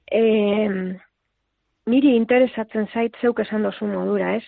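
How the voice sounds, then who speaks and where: Her fairly high voice stays monotone, with flat intonation. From Basque Country, Lekeitio. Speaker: poet and writer. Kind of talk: interview.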